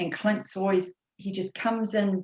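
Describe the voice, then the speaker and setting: A woman speaks at a medium pitch with a New Zealand accent. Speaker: course participant. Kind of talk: casual chat. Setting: video call.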